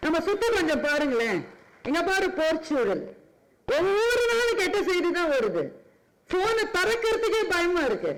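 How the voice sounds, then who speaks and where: A man with an extremely high pitch talks with lively intonation and very even loudness. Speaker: public speaker / orator. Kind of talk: public speech at a charity event. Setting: event stage with PA system. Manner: oratorical, emotive, building to thanks.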